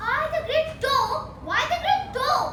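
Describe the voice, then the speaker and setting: An extremely high-pitched, put-on character voice comes through over noticeable background noise. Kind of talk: Shakespearean stage speech. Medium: stage play.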